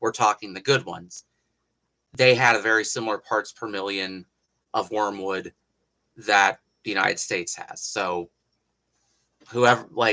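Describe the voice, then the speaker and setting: With an Appalachian accent, a man at a fairly low pitch speaks at a moderate pace in a bright, sharp tone with fairly even intonation. His loudness swings widely, he pauses long and often, and the sound is dry and close with no echo. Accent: Appalachian twang, mild. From Appalachia, US. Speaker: historical craftsman, hatmaker. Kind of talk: livestream tutorial and chat. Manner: casual, conversational.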